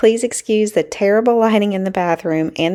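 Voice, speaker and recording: A woman of medium pitch speaks at a moderate speed in an unremarkable speaking voice. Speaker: lifestyle vlogger. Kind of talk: casual talk to camera.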